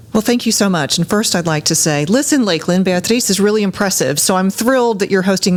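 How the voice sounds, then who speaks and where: A woman races along at a very fast pace with ordinary pitch variation, noticeable background noise behind her. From Florida, Cuban family. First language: Spanish. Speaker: college president. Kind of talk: interview podcast.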